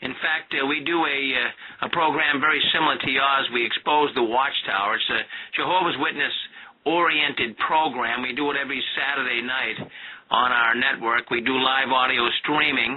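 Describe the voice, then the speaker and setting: A man talks in a fairly high pitch. Noticeable background noise can be heard. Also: moderate pace. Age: 60s. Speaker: former Jehovah's Witness, anti-sect show host. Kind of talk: radio interview. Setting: internet radio call-in.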